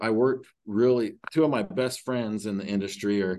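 In a Utah accent, a man speaks at a moderate pace with a fairly low pitch. His intonation stays fairly even, and the background is quiet. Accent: rural Utah American. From rural Utah (Emery County). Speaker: high school athletic director. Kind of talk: interview. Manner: halting, many fillers.

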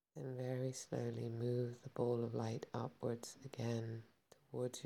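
A man speaks in a gentle, somewhat breathy tone at a medium pitch. His pace is fairly slow and his intonation fairly even. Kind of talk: guided meditation. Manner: slow, calm and soothing, with long pauses; gentle, unhurried, instructive.

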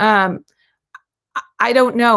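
In a very clean recording with a silent background, a woman with a plain, everyday voice talks at a fairly slow pace with fairly even intonation. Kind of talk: video-call book study discussion.

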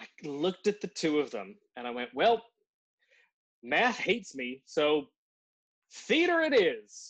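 A man with a Newfoundland accent, high-pitched, at a fairly slow pace, with very wide pitch swings, big swings in loudness and long, frequent pauses. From Newfoundland, Canada. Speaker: podcast co-host and actor. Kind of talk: casual chat.

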